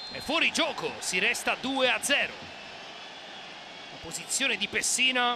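Loudness rises and falls in big swings at a very slow pace. Noticeable background noise runs underneath. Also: man. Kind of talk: live sports commentary over match highlights. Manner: rising, emphatic calls on goals.

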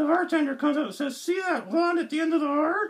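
A man puts on a character voice, pitched extremely high. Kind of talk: joke telling.

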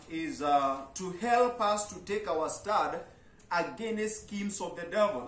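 Audible room echo surrounds this male speaker. His intonation is lively. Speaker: preacher. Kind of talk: sermon. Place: tent. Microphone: camera far.

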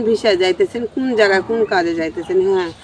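With a dry sound and no echo, a woman speaks at a medium pitch with ordinary pitch variation over light background noise. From Bangladesh, Gaibandha; Bangladesh. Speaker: returned migrant domestic worker. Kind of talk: personal testimony. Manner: halting. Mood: calm, somber recounting hardship. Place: garden.

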